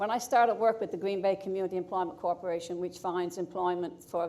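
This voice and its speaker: Speaking very fast with a Newfoundland accent, a woman uses a medium pitch, a dark, mellow tone and fairly even intonation. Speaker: award recipient. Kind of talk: acceptance speech.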